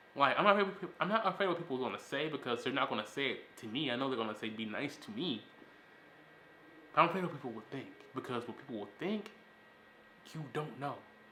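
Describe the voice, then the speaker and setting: Over noticeable background noise, a man talks in an animated tone at a very fast pace, his fairly high voice making very wide pitch swings. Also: long, frequent pauses, big swings in loudness. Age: 20s. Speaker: podcast host. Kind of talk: casual chat.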